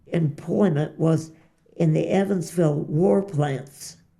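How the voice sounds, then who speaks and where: A woman's fairly low, dark, mellow voice with vocal fry, an American accent, ordinary pitch variation and a very slow pace. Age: 90s. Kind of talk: interview answer.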